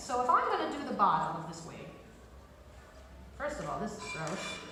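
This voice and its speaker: A raised, projected voice carries over noticeable background noise and audible room echo. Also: woman. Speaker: cosplay wig stylist. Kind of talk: live demonstration panel. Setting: convention panel with audience.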